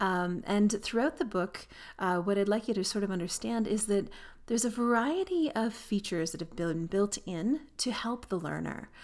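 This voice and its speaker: A woman with a Canadian accent has an unremarkable speaking voice, medium pitch, ordinary pitch variation and a moderate pace. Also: very clean recording, silent background. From Canada. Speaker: aviation professor and textbook author. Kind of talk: educational monologue.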